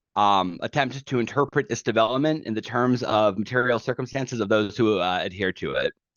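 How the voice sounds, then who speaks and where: A man at a medium pitch, with ordinary pitch variation, a fairly quick pace and hardly any pauses. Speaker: study group presenter. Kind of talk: lecture. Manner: fast; halting.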